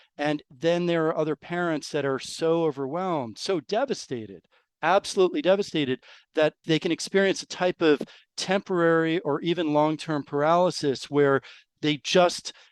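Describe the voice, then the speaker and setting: At a moderate pace, a man with an American accent and a fairly high pitch uses an unremarkable speaking voice with ordinary pitch variation, the sound dry and close with no echo and the background quiet. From New York. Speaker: rare disease parent. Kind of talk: interview.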